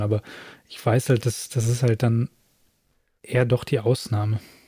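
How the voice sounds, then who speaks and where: Somewhat breathy and dark, mellow in tone, a man of medium pitch speaks at a fairly slow pace. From Ruhr area, Germany. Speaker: podcast co-host. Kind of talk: casual chat. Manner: animated.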